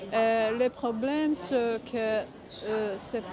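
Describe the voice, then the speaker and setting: A woman's fairly high voice at a very slow pace with fairly even intonation, noticeable background noise and audible room echo. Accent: non-native. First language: not French (speaking French). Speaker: vlogger. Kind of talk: casual vlog monologue. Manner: halting, many hesitations.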